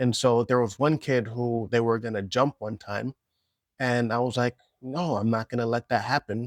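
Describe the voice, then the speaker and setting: A normal speaking voice moves at a moderate pace with fairly even intonation, in a dry, close sound with no echo on a very clean recording with a silent background. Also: man, medium pitch for a man. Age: 30s. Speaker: vlogger. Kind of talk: reflective personal vlog monologue. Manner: casual, reflective.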